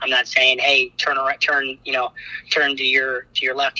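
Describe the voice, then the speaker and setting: A man talks at a fairly quick pace, heard in a dry, close sound with no echo. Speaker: college basketball head coach. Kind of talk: interview.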